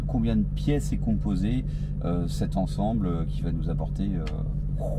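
A man talks at a fairly slow pace. Music can be heard behind him. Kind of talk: casual vlog chat. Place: car. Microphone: lapel.

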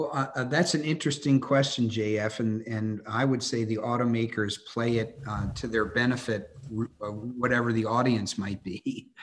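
A man speaks at a very slow pace. Light background noise is present. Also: fairly even intonation. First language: English (speaking French). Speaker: industry association CEO; guest. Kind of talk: webinar interview. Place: home room. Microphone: video call.

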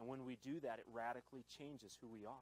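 The speaker is a man. No echo colors the dry sound. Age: 20s. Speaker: pastor. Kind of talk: sermon. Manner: animated. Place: church. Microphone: handheld.

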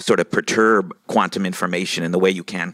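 A man's very deep, low voice with fairly even intonation, dry with no echo, over a quiet background. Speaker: audience member asking a question. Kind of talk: audience Q&A comment. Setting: live event audience. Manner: halting. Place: hall.

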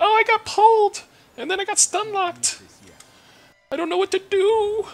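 The voice sits at an extremely high pitch. It is a put-on character voice at a moderate pace. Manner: panicked, mocking.

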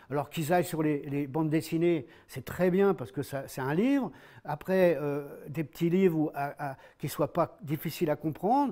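A man talks at a moderate pace with a fairly high pitch and ordinary pitch variation. His tone is dark and mellow, and the background is quiet. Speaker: novelist. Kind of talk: interview. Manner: halting. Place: home room. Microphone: lapel.

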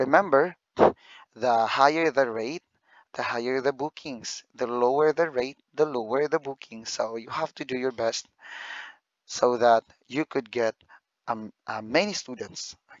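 Pitched at a medium level, a man speaks with ordinary pitch variation. His pace is fairly slow. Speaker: YouTuber and online ESL teacher. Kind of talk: vlog talk.

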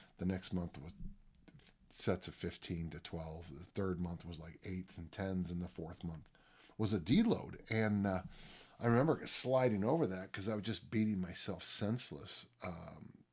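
Against a quiet background, a man speaks at a moderate pace. His pitch is very deep and low. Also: ordinary pitch variation, big swings in loudness. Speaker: podcast host, strength coach. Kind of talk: podcast monologue. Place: home room.

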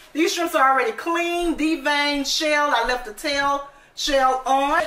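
A woman speaks in a raised, projected voice at a moderate pace. Light background noise and audible room echo are present. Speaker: home cook vlogger. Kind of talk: casual cooking tutorial chat. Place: kitchen. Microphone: phone near.

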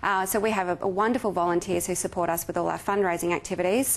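With an Australian accent, a woman talks at a medium pitch with ordinary pitch variation. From South Australia. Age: 30s. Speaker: charity marketing manager; guest. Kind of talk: guest lecture. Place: hall. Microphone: podium.

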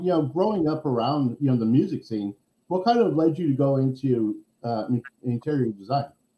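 A man speaks at a fairly quick pace with lively intonation. His tone is dark and mellow, and the room echo is audible. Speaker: podcast interviewer. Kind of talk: casual podcast interview. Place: home room. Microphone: video call.

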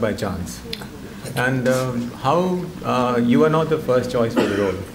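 Noticeable background noise sits under the recording. Over it, a man speaks at a moderate pace, his pitch varying in an ordinary way. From India. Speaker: author and journalist, moderator. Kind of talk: onstage interview. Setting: stage with audience. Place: hall. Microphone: podium.

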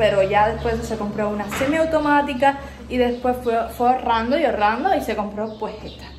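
Noticeable background noise sits behind a woman with a Cuban accent. Her pitch is fairly high and her pace moderate. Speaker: YouTuber. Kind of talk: casual house tour to camera. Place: kitchen. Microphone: phone near.

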